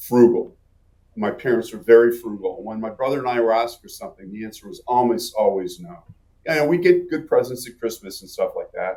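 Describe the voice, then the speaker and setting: A man talks at a fairly quick pace. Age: 60s. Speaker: economist, former journalist. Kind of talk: casual interview chat.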